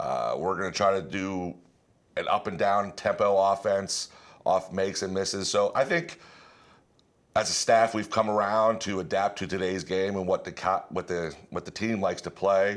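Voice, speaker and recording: In a very clean recording with a silent background, a man with an American accent speaks at a moderate pace. He has a normal speaking voice, fairly low in pitch, with fairly even intonation. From Pennsylvania, Altoona area. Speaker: high school basketball coach. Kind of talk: interview.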